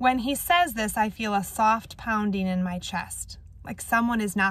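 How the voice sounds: A natural reading voice, pitch moving in an ordinary manner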